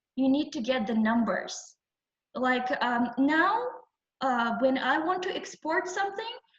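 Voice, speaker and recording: Very wide pitch swings at a moderate pace, with audible room echo. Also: woman. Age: 20s. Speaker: entrepreneur, guest lecturer. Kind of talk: lecture. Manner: halting, many fillers.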